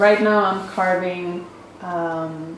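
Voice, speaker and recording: A woman with a Spanish accent at medium pitch, very slow, with ordinary pitch variation, audible room echo and noticeable background noise. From Mexico City. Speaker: printmaker artist. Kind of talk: casual artist talk. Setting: print studio.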